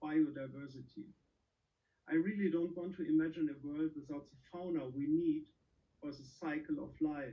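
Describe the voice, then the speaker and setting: A man with a German accent, fairly high in pitch, with ordinary pitch variation. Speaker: event moderator. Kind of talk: introduction speech.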